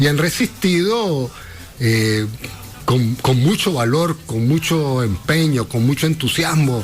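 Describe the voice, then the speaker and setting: Over music in the background, someone with a Nicaraguan accent talks at a very slow pace with lively intonation. The loudness stays very even throughout. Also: man, fairly high pitch for a man. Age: 60s. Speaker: radio interview guest, social commentator. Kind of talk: radio interview, political discussion.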